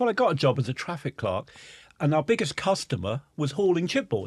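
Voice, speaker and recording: A man talks with a Norfolk accent. His voice shows vocal fry and very wide pitch swings. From England, Norfolk. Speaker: timber industry executive. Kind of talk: podcast interview.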